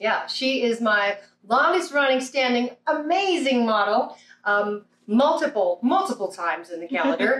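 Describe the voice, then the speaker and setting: Her pitch high, a woman speaks at a fairly slow pace with very wide pitch swings. Audible room echo is present. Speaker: lawyer, calendar host. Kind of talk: casual talk to camera. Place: home room. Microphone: camera far.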